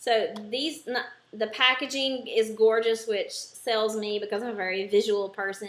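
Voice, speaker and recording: At a moderate pace, a woman with an American accent speaks. Her voice is fairly high, with fairly even intonation. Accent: thick at times southern US. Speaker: beauty vlogger. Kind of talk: makeup product review tutorial. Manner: casual with frequent filler ums. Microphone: poor sound quality.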